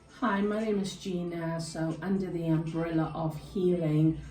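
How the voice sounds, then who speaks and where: Over music in the background and with audible room echo, a woman with a fairly low pitch speaks at a fairly slow pace in fairly even intonation. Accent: South African. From South Africa, Cape Town. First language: Afrikaans. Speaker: health and wellbeing chat host. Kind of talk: casual chat.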